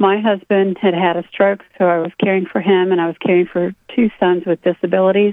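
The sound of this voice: At a fairly quick pace, a woman of medium pitch speaks with little pitch movement in a dry, close sound with no echo.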